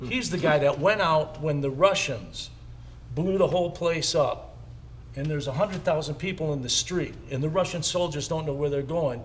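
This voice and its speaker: Audible room echo surrounds a man with an American accent. His pitch is fairly high, with ordinary variation, and his pace is moderate. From Chicago. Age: 60s. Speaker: drummer. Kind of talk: casual chat.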